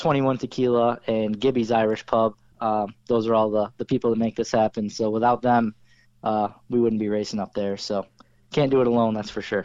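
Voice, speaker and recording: A man with an American accent speaks at medium pitch in a monotone, flat way. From Oswego area, upstate New York. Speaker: race car driver. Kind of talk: interview.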